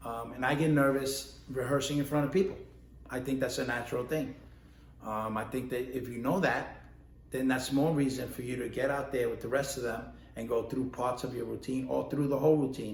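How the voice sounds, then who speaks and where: With a New York accent, a man at medium pitch talks at a fairly quick pace in a fairly even intonation amid audible room echo. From New York, the Bronx. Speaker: ballroom dance instructor and competitor. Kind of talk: casual instructional talk. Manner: conversational, with many fillers.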